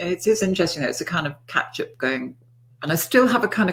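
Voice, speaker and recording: Fairly quick speech with very wide pitch swings. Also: woman. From Liverpool, England. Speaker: NLP author and trainer. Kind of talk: interview.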